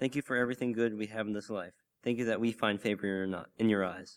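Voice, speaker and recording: At a fairly quick pace, a man with an unremarkable speaking voice talks at a fairly low pitch with fairly even intonation. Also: very clean recording, silent background. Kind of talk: prayer. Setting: church.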